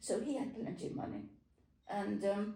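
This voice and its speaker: With vocal fry and a dark, mellow tone, a woman speaks at a moderate pace. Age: 80s+. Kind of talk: interview answer, reminiscing.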